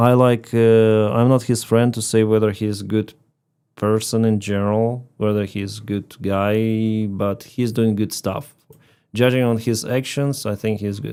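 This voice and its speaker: Speaking in a Russian accent, a man with a fairly low pitch and a dark, mellow tone keeps a monotone, flat intonation. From Ukraine. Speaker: live streamer and commentator. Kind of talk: casual live stream chat. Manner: slow, pausing between sentences.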